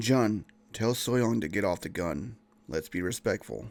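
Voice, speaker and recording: Using a raspy, put-on character voice, a man speaks at a moderate pace with a fairly low pitch. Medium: read story. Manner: polite, steady under pressure.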